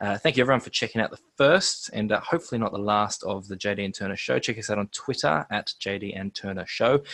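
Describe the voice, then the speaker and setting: The voice runs at a very fast pace with hardly any pauses. An Australian accent comes through with ordinary pitch variation. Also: man, fairly low pitch for a man. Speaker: podcast host and stadium match day MC. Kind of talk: casual chat. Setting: video call. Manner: loud.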